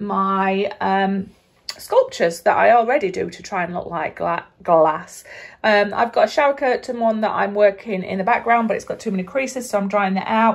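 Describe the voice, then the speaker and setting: A woman speaks at a moderate pace, her pitch varying in an ordinary way. Nothing can be heard behind her. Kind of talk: tutorial. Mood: upbeat, hopeful. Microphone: phone near.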